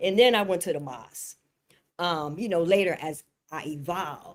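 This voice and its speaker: Recorded very cleanly against a silent background, a woman with an unremarkable speaking voice talks at a moderate pace, with ordinary pitch variation and big swings in loudness. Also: fairly low pitch for a woman. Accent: American. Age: 60s. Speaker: spiritual teacher. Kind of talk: spiritual panel discussion.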